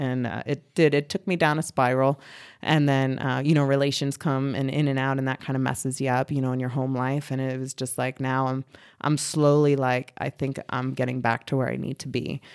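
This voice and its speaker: In a very clean recording with a silent background, a woman with an American accent speaks fairly quickly at a very deep, low pitch in a flat monotone. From US East Coast, Reading, Pennsylvania. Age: 30s. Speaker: military veteran and canine handler. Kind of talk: casual interview.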